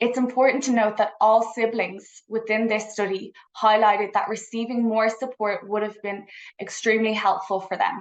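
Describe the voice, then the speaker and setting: A woman speaks in a fairly high pitch with an Irish accent. Her intonation is monotone and flat. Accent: Irish, noticeable. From Ireland, Dublin. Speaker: psychology researcher. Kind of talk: conference presentation. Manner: fast.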